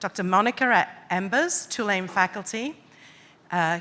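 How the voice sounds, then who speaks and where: A woman with a medium-pitched voice speaks at a fairly slow pace. Her tone is bright and sharp, and her intonation is lively. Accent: Welsh. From Wales. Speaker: panel moderator, academic. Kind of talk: panel moderation.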